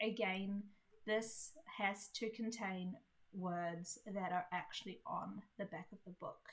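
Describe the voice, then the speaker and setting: Very slowly and somewhat breathily, a woman speaks in a New Zealand accent at a medium pitch with fairly even intonation. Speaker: indie author. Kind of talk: tutorial. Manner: casual, many fillers.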